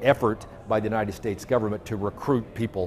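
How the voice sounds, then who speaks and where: The pace is fairly quick. It is an ordinary speaking voice. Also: man. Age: 60s. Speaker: journalist and activist. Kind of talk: interview. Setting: conference venue.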